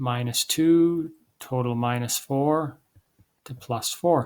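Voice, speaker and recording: A man's fairly high voice, fairly even in intonation, on a very clean recording with a silent background. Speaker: chemistry teacher. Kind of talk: lecture.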